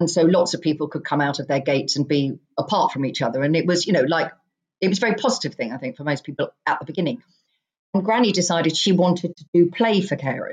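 A somewhat breathy woman's voice with an English accent, fairly low in pitch, very fast in pace, and lively in intonation. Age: 50s. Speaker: author. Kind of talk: casual chat.

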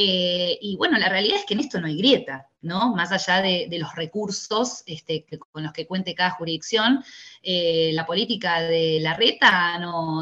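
This is a normal speaking voice, a woman's with a fairly low pitch. She talks at a moderate pace with ordinary pitch variation. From Tigre, Buenos Aires province, Argentina. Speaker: teachers' union leader. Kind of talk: interview.

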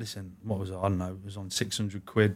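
Here a man speaks in an English Midlands accent. His pace is very fast and his intonation monotone and flat. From English Midlands (Warwick, Leamington). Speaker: goalkeeping coach, former pro goalkeeper. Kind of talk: casual interview.

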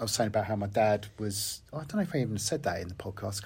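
Somewhat breathy speech races along at a very fast pace in a very clean recording with a silent background. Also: man. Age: 50s. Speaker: podcast host. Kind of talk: casual chat.

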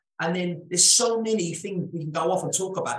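With audible room echo around him, a man talks at a very fast pace. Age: 30s. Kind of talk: casual chat.

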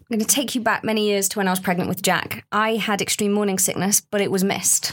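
A woman with an unremarkable speaking voice talks at a fairly quick pace and medium pitch, her loudness very even. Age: 30s. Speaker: research participant, mother with postnatal depression. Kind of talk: casual chat.

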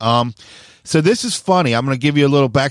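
Animated and with lively intonation, a man at medium pitch speaks on a very clean recording with a silent background and a dry, close sound with no echo. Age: 40s. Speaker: skateboarding podcast host. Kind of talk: casual chat. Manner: fast, wound up.

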